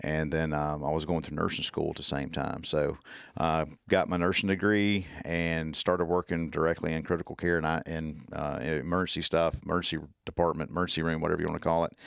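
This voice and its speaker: In a very clean recording with a silent background, a man speaks with a strong Southern US accent at a very deep, low pitch. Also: fairly even intonation, fairly quick pace. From US South. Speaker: tactical medicine instructor. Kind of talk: podcast interview. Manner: halting.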